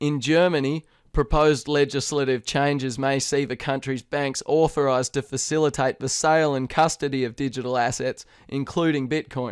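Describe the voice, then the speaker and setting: A man with an Australian accent, fairly high in pitch with fairly even intonation, at a moderate pace, the sound dry and close with no echo on a very clean recording with a silent background. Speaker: crypto news presenter. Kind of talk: news reading. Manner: formal.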